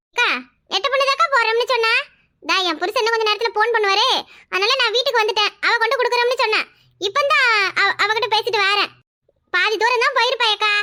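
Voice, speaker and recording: At a moderate pace, a woman puts on a cartoonish character voice with an extremely high pitch, ordinary pitch variation and very even loudness. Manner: polite, respectful.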